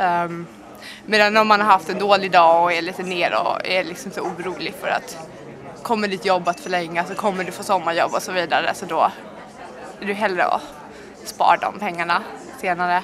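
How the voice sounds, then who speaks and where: This woman's medium-pitched voice moves at a moderate pace, with fairly even intonation, long, frequent pauses and big swings in loudness. The room echoes audibly, and crowd noise sits in the background. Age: 20s. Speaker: student. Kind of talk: interview.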